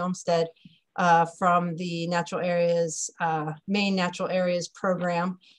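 A woman speaks with a fairly low pitch. Her pace is moderate, and the background is quiet. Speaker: webinar host. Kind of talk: webinar introduction. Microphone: video call.

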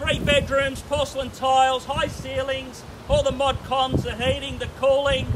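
A loud man with an extremely high pitch and an Australian accent, monotone and flat, amid noticeable background noise. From Australia (Melbourne). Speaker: real estate auctioneer. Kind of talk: rapid-fire auction bid calling. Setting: outdoors at property auction with crowd. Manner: loud, showman-like crowd-rousing. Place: street. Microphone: camera far.

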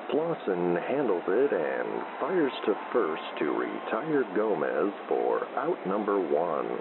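A man's very slow delivery with very even loudness and hardly any pauses, against noticeable background noise. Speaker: radio baseball play-by-play announcer. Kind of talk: live sports commentary, fake radio broadcast for sleep. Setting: radio broadcast.

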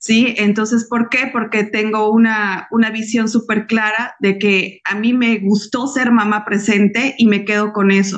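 A woman talks at a fairly slow pace with hardly any pauses, in a monotone, flat intonation. The background is quiet. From Bolivia. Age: 40s. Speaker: civil engineer and network marketing consultant; guest. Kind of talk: personal testimony. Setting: video call. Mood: warm, heartfelt. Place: home room. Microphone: video call.

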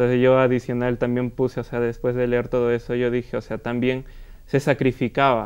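Against a quiet background, a man speaks in a flat monotone. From Peru. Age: 20s. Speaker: composer and singer; guest. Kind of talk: interview. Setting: studio. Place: studio. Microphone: lapel.

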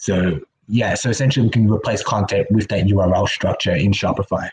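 At a fairly quick pace, a man talks in a fairly low pitch with a husky, rough edge, a slightly mellow tone and fairly even intonation.

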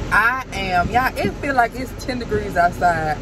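Loud background noise surrounds a woman whose voice has a dry sound with no echo. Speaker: mom vlogger. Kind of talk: casual vlog chat. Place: car. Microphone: phone near.

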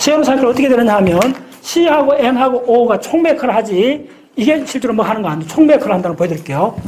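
A man speaks at a very fast pace with an extremely high pitch and lively intonation. Light background noise is present. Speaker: science lecturer. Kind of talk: lecture. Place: classroom.

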